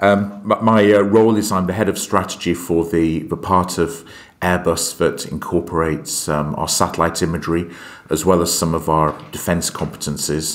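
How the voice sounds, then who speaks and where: With a British accent, a man speaks in a very deep, low pitch. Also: fairly even intonation, moderate pace. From UK. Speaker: aerospace strategy executive. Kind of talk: podcast interview. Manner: hesitant, many fillers.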